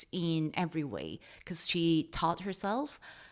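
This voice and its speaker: Over a silent background in a very clean recording, a woman speaks at a very slow pace with a fairly low pitch. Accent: Korean. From South Korea. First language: Korean. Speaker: podcast co-host. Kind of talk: casual chat.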